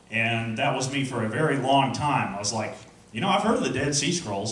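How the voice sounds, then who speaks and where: With noticeable noise behind him, a man talks at an even, moderate speed and lively intonation. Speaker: Bible class teacher. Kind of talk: recorded class lecture.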